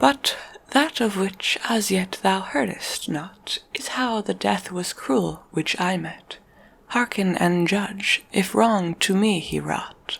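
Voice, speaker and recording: Very slowly, a woman talks at a medium pitch. Her pitch variation is ordinary. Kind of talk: poetry reading. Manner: soft-spoken, whispered.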